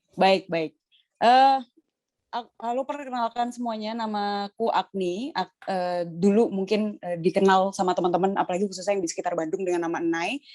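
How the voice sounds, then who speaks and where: A plain, everyday voice moves at a moderate pace with ordinary pitch variation. The sound is dry and close, with no echo. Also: woman, medium pitch for a woman. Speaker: lecturer and artistic director. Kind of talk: casual interview.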